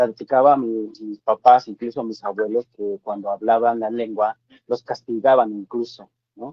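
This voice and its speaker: With a Chiapas accent, a man of medium pitch talks in a flat monotone, his loudness swinging widely. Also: moderate pace. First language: Tseltal (speaking Spanish). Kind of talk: panel discussion. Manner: halting.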